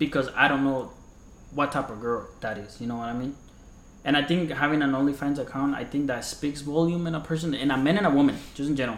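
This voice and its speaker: Audible room echo surrounds a man talking at a very fast pace with a fairly high pitch and fairly even intonation. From Colombia, moved to the US around age 11. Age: 20s. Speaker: podcast host. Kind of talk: casual chat.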